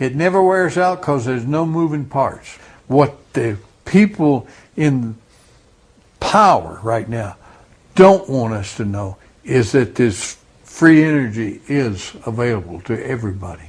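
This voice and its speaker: A man speaks fairly slowly and somewhat breathily, with long, frequent pauses. His pitch swings very widely. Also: medium pitch for a man. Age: 70s. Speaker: witness interviewee. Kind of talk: interview testimony.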